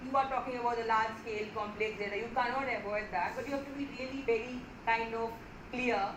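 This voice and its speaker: A woman's fairly high voice, flat and monotone, over noticeable background noise with audible room echo. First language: not Hindi. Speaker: lecturer. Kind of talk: lecture. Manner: halting.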